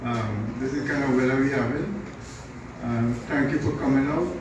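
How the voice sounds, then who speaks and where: A man's fairly high voice at a moderate pace with fairly even intonation, plus audible room echo and noticeable background noise. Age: 70s. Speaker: politician. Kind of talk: funeral condolence speech. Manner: halting, many fillers.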